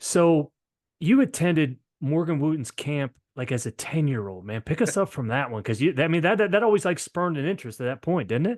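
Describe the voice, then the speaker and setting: A man with a slight Maryland accent speaks fairly quickly at a fairly high pitch, with very wide pitch swings. The sound is dry and close, with no echo. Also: quiet background. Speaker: podcast host. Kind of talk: interview.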